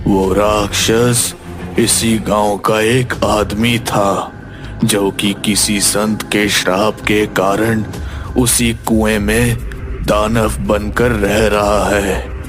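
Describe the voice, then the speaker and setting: A man's cartoonish character voice, fairly low in pitch and very slow, over loud background noise. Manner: grave, ominous.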